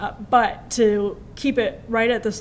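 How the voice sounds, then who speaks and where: Light background noise sits behind a woman with an American accent and a normal speaking voice. Her pitch is fairly high, and her intonation is fairly even. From Wisconsin, rural. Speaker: journalist and media commentator; journalist, media commentator. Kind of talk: lecture. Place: classroom. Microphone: podium.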